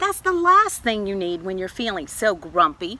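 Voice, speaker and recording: The speed stays moderate. The voice is a put-on character. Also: woman, medium pitch for a woman. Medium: read story.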